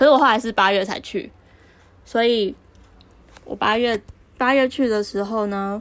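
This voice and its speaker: At a moderate pace, a woman speaks with a fairly high pitch and ordinary pitch variation. She leaves long, frequent pauses. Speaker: podcast co-host. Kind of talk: casual chat. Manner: reserved.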